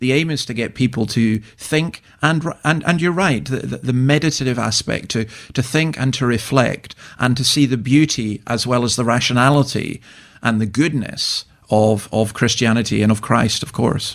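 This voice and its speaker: With a Scottish accent, a man speaks at a moderate pace and medium pitch with ordinary pitch variation, in a very clean recording with a silent background. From Scotland. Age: 60s. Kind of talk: radio interview.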